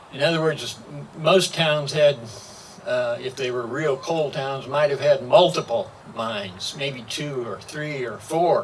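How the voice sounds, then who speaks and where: With noticeable background noise, a man speaks at a fairly slow pace in a fairly high pitch with ordinary variation. His loudness swings a lot. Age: 80s+. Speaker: local historian. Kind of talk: public talk.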